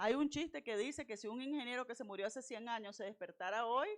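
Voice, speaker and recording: A woman with a fairly high pitch and an animated tone speaks at a moderate pace with lively intonation. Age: 60s. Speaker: university lecturer / invited speaker. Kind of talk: lecture.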